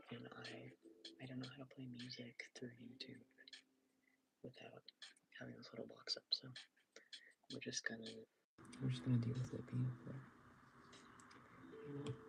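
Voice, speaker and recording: Quiet and marked by big swings in loudness, a man speaks at a moderate pace with long, frequent pauses. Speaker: artist livestreamer. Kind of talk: casual livestream chat while drawing. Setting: livestream from bedroom. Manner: quiet at start of stream; hesitant, many fillers.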